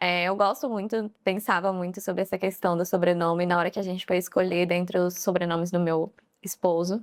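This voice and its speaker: At a fairly quick pace, a woman with a medium pitch speaks in a monotone, flat intonation. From Guarulhos, São Paulo, Brazil. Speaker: nutritionist. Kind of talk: casual interview chat.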